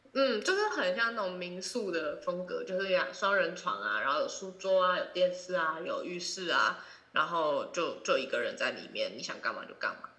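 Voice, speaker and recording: A woman speaks at a moderate pace with hardly any pauses. Noticeable background noise and audible room echo surround her voice. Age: 20s. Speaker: student. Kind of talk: casual chat.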